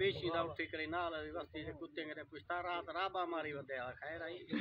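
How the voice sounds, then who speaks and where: A man is speaking. His pitch is high. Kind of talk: comic storytelling performance. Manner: humorous, animated.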